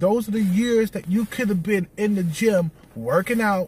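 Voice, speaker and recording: A man speaks loudly at a moderate pace with ordinary pitch variation, and the sound is dry with no echo. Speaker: video blogger giving dating advice to men. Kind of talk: angry rant, scolding lecture aimed at viewers. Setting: solo video. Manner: blunt, confrontational, hammering repeated points; loud, aggressive, contemptuous and profane. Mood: lecturing, scolding. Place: car. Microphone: phone near.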